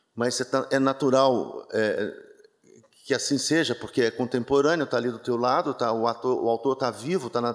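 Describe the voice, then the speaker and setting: In a Minas Gerais accent, a medium-pitched man talks with fairly even intonation on a very clean recording with a silent background. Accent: Minas Gerais (mineiro) way of speaking. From Brazil, interior of Minas Gerais. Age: 60s. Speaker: theatre director. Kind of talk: interview at a book launch talk. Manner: relaxed, soft drawl; halting, many fillers and repetitions.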